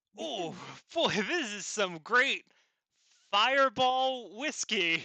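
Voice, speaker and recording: A man uses a put-on character voice pitched extremely high. He speaks at a very slow pace. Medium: game stream. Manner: excitable, awed.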